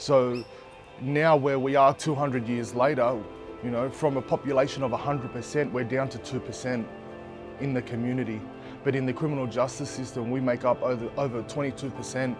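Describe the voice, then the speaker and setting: Music plays in the background while a man speaks at a medium pitch. His intonation is monotone and flat, and his pace is fairly quick. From Redfern, Sydney, Australia. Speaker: community organisation co-founder and advocate. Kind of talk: interview answer.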